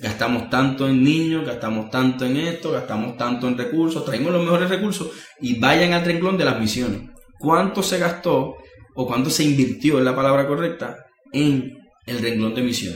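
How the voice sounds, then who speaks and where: Over music in the background and audible room echo, a man speaks at a medium pitch and moderate pace with ordinary pitch variation. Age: 30s. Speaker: missionary leader and preacher. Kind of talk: interview conversation.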